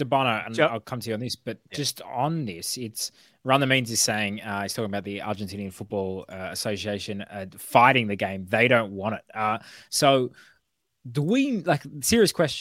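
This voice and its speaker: With an Australian accent, a man speaks at a moderate pace and medium pitch, showing ordinary pitch variation and big swings in loudness, his voice dry and close with no echo on a very clean recording with a silent background. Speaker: football podcast host. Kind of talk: casual chat.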